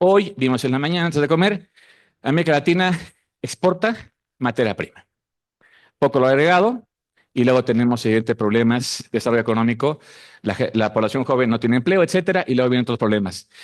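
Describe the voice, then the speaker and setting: Lively intonation runs through the speech, broken by long, frequent pauses. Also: man, medium pitch for a man, fairly quick pace. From Mexico. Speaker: researcher. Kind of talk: conference talk.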